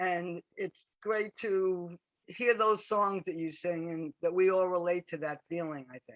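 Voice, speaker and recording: A woman with an American accent uses a normal speaking voice, speaking at a fairly slow pace with a fairly low pitch and ordinary pitch variation. Her loudness swings widely, and the sound is dry and close with no echo. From Long Island, New York. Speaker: audience member. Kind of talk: casual chat.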